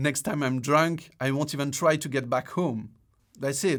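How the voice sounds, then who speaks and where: A man with a French accent, fairly high pitch, and fairly slow pace on a very clean recording with a silent background. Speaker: screenwriting video essayist. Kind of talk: video essay podcast narration.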